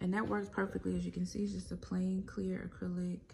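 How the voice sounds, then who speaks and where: Light noise sits in the background. A woman goes at a fairly quick tempo. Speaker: home decor vlogger. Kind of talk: casual vlog chat. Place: home room. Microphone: phone near.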